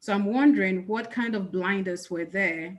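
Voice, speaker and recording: At a moderate pace, a woman with a medium pitch talks in a strong Ghanaian accent. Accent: thick Ghanaian. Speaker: accountant, panelist. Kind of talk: panel discussion.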